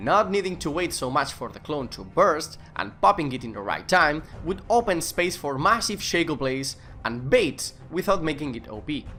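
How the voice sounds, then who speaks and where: A bright, sharp voice with a Spanish accent and vocal fry moves at a moderate pace. The pitch swings very widely and the loudness rises and falls sharply. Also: man, fairly high pitch for a man. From Spain. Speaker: gaming video creator. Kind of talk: game update commentary.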